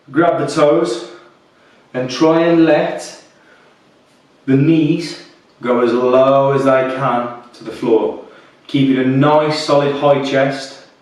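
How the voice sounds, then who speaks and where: A fairly high-pitched male voice at a very slow pace, with long, frequent pauses, fairly even intonation, big swings in loudness, audible room echo and noticeable background noise. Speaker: fitness instructor. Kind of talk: guided workout instruction. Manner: soft-spoken; calm, relaxed.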